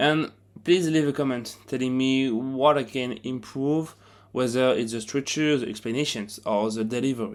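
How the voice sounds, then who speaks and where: A man with a French accent, medium in pitch, at a moderate pace with fairly even intonation, on a very clean recording with a silent background. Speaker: self-help video narrator. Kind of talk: narrated explainer video; channel outro.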